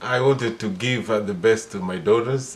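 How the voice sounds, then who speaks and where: A man speaks in a Kenyan accent with ordinary pitch variation. Noticeable background noise is present. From Kenya, Mombasa. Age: 60s. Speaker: father being interviewed. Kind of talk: casual interview. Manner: halting, many fillers.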